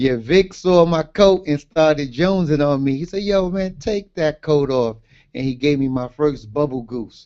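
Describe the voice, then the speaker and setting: Moving at a moderate pace, a man speaks at a fairly high pitch with ordinary pitch variation. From Brooklyn, New York (Brownsville). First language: Garifuna. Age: 50s. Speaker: author. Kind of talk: interview. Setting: livestream.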